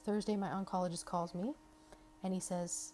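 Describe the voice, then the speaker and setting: Her voice is medium in pitch, dark and mellow, and somewhat breathy, and the woman moves at a fairly quick pace. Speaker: cancer patient vlogger. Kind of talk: personal testimony vlog. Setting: hospital. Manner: casual, conversational with fillers.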